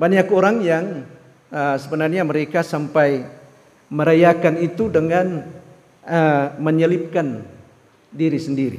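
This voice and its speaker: With audible room echo, a man speaks at a fairly slow pace with long, frequent pauses, a fairly high pitch, and fairly even intonation. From Philippines, Davao. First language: Filipino language (speaking Indonesian). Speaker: missionary pastor. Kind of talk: sermon. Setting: church. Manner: halting, many fillers.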